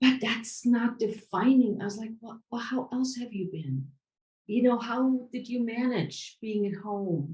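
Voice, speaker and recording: A somewhat breathy woman's voice at fairly high pitch and fairly slow pace, with big swings in loudness. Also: ordinary pitch variation. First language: not English. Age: 60s. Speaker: podcast host. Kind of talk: interview conversation.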